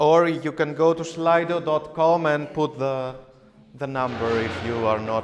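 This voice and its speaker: With a Greek accent, a man speaks at a fairly slow pace and ordinary pitch variation amid noticeable background noise. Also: fairly high pitch for a man. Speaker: teacher. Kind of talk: workshop presentation. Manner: hesitant, many fillers.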